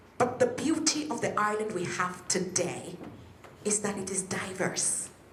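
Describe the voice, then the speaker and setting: A woman speaks at a fairly slow pace, with a medium pitch and lively intonation. Noticeable background noise and audible room echo fill the recording. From western Nigeria. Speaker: politician, local councillor. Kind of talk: public speech. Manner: animated.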